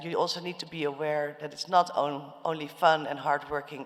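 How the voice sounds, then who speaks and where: Noticeable background noise sits behind a woman with a very deep, low voice. She talks at a moderate pace with fairly even intonation. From Netherlands. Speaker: fintech founder and CEO. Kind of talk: panel discussion. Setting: stage with audience.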